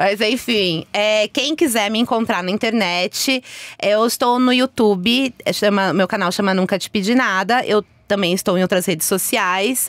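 A woman's voice at a fairly slow pace, with ordinary pitch variation and a dry sound with no echo. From Brazil, Minas Gerais. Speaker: YouTuber. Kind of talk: casual chat. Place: studio. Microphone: studio mic.

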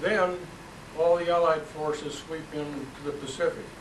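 There is noticeable background noise as a man talks at a fairly high pitch. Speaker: moderator of community talk series. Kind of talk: moderating and introducing speakers. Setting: live room with audience, poor acoustics. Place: hall. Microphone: camera far.

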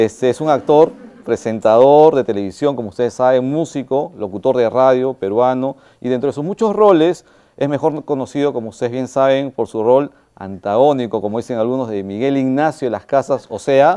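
The man's tone is dark and mellow, set against a quiet background. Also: ordinary pitch variation, moderate pace. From Peru. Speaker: event moderator. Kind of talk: moderated interview. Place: stage. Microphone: lapel.

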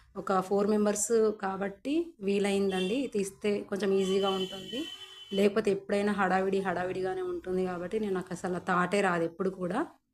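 A woman's medium-pitched, flat monotone over noticeable background noise. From Telangana. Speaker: ashram cook and new vlogger. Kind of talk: cooking vlog. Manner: polite, conversational.

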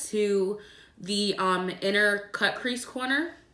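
A woman's voice with ordinary pitch variation comes through with audible room echo. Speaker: beauty vlogger. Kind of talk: tutorial.

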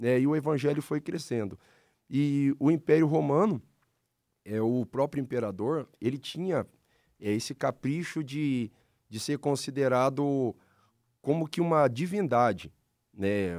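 Over a quiet background, a man with a fairly high voice talks at a fairly slow pace, using ordinary pitch variation and long, frequent pauses. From Paraná, Brazil (Londrina); Paraná, Brazil. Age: 40s. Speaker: pastor. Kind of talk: casual religious discussion; interview answer. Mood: calm, explanatory. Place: studio. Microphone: studio mic.

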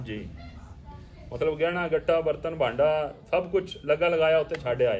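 His pitch sits fairly high and varies in an ordinary way. This man has a plain, everyday voice. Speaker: interviewer. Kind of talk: interview questions.

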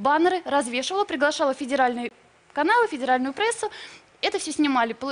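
The speech moves at a very fast pace. Intonation is lively throughout. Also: woman. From Russia (St. Petersburg); Russia. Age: 20s. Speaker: ex-model, journalist; journalist. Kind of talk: TV talk show. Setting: TV studio. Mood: earnest, sometimes sad. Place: studio. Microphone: studio mic.

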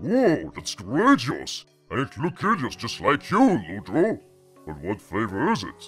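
Using a put-on character voice, a man speaks with a fairly high pitch. His pace is moderate, and faint music plays in the background.

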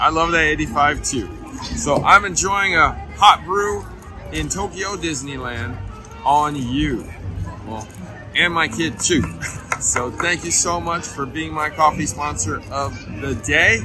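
Clear music plays behind a man who speaks at a fairly slow pace with long, frequent pauses. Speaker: tennis vlogger. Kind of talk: casual vlog chat. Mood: cheerful, joking. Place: street. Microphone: phone near.

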